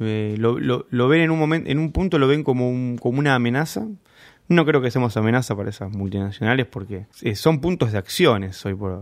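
A man speaks with a Rioplatense accent. The recording is very clean, with a silent background. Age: 40s. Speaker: homebrewer and beer judge. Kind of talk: interview. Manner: halting.

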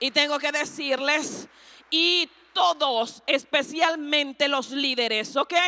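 Raising and projecting her voice, a woman speaks very slowly at a high pitch with a bright, sharp tone. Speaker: pastor. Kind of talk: sermon. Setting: church. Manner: animated.

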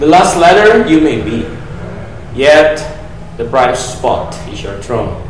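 A man with a fairly high voice speaks at a very slow pace, leaving long, frequent pauses, with lively intonation and a dramatic tone. His loudness swings widely over noticeable background noise. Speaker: poet reading own work. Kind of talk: poem performed, reading own poetry aloud. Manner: dramatic, poetic cadence with reflective pauses.

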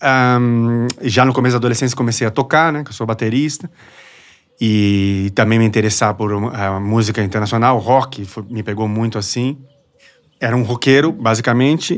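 A man's unremarkable speaking voice at a moderate pace, with ordinary pitch variation. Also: medium pitch for a man. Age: 40s. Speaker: music journalist, DJ and drummer. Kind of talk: casual chat.

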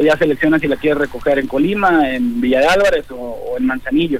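A man with lively intonation at a fairly quick pace, against noticeable background noise. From Jalisco, Mexico (Autlán). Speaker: restaurant owner. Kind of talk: radio interview.

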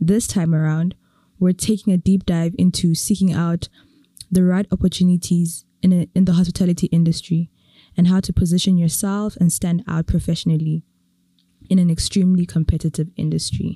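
Somewhat breathy and dark, mellow in tone, a woman speaks at a fairly quick pace with a fairly low pitch, monotone, flat intonation and very even loudness, in a dry, close sound with no echo. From Eswatini. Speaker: podcast host. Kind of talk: interview conversation.

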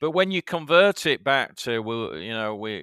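Lively intonation and a bright, sharp tone mark this voice at a moderate pace, in a dry, close sound with no echo. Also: man. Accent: Yorkshire. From Yorkshire, England. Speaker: media executive. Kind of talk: casual chat. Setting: video call.

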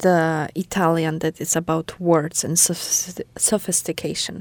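A woman talks with a Polish accent at a moderate pace. The recording is dry and close, with no echo. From Poland. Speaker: podcast host. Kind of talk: casual conversation podcast. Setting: small studio.

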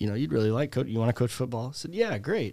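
On a very clean recording with a silent background, a man with a Chicago accent speaks at a medium pitch with ordinary pitch variation. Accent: Chicago-area American. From US Midwest, Chicago suburbs. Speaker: teacher and softball coach. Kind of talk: interview.

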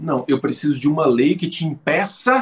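An animated man at a moderate pace, his voice making very wide pitch swings. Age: 40s. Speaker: philosophy professor. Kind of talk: interview.

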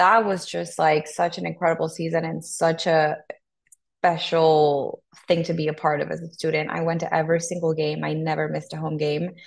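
With a Spanish accent, a woman talks at a fairly quick pace. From Honduras. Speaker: sports team content manager. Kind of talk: podcast interview.

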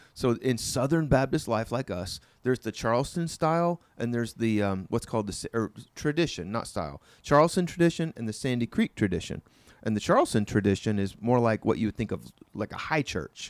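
An American-accented man with an unremarkable speaking voice, medium pitch, lively intonation and fairly quick pace, in a very clean, dry, close recording with a silent background and no echo. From Oklahoma, US. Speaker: pastor. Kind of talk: casual conversational sermon recap.

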